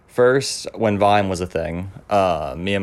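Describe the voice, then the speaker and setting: This man's voice sits very deep and low. He speaks with an American accent. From Maine, US. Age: young. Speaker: student filmmaker. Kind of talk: interview.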